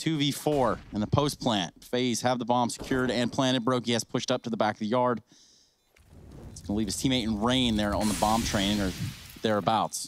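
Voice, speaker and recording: With music in the background, a man speaks at a medium pitch and a moderate pace with fairly even intonation. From Alabama. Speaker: esports commentator. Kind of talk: live commentary.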